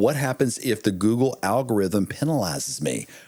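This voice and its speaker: Recorded very cleanly with a silent background, a man speaks at a moderate pace with vocal fry, a medium pitch and ordinary pitch variation. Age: 50s. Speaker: military veteran and marketing author. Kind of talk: casual interview chat.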